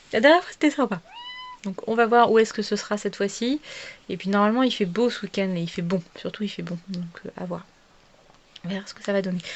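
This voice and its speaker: A woman with a medium pitch and ordinary pitch variation speaks at a very fast pace, her loudness swinging widely, with long, frequent pauses and noticeable background noise. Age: 30s. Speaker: vlogger. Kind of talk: casual chat. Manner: halting.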